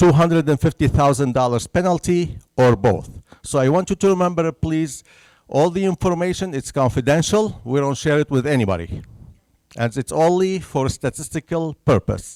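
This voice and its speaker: A man with a Syrian accent speaks at a fairly high pitch and moderate pace, with ordinary pitch variation. The recording is very clean and dry, close with no echo and a silent background. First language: Arabic. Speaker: census bureau presenter. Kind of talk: public presentation. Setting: senior center talk with audience.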